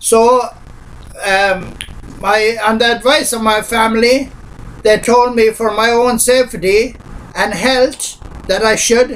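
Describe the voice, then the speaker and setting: A man with an Irish accent, an extremely high pitch, fairly even intonation, very even loudness, a very slow pace with long, frequent pauses, and noticeable background noise. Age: 60s. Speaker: pensioner. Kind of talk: personal statement to camera. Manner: hesitant.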